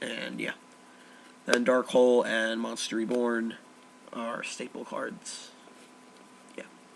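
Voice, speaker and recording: A man speaks very slowly at a medium pitch, flat and monotone, with long, frequent pauses and big swings in loudness. Noticeable background noise sits behind him. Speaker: card game deck reviewer. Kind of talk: casual talk to camera. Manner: flat, low-energy.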